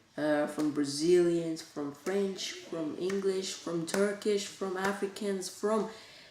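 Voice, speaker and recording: Woman speaking with ordinary pitch variation, with noticeable background noise and audible room echo. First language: Bulgarian. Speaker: youtuber. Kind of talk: casual vlog talk. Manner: halting.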